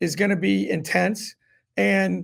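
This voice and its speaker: Here a man is speaking. His intonation stays fairly even. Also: very clean recording, silent background. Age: 60s. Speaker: college basketball coach. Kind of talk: casual chat. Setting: studio. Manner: halting, many false starts.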